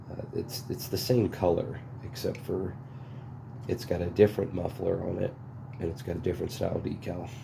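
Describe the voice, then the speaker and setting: Whispering quietly at a fairly quick pace, a man leaves long, frequent pauses amid audible room echo. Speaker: chainsaw restorer. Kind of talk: casual unboxing tutorial. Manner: hesitant with fillers.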